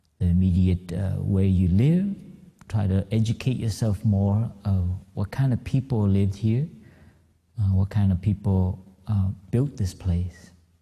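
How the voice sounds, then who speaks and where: A man speaks fairly slowly in a fairly low, dark, mellow voice that is somewhat breathy. His loudness stays very even, with ordinary pitch variation. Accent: American. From Vietnamese-born, raised in the US. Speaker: Buddhist monk. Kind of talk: dharma talk. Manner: halting, many fillers.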